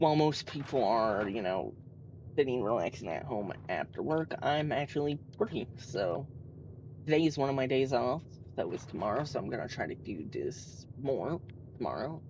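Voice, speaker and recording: In an American accent, a man speaks at a medium pitch and moderate pace, with lively intonation and vocal fry. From United States. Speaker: gaming streamer. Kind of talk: live gameplay commentary. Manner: hesitant, many fillers.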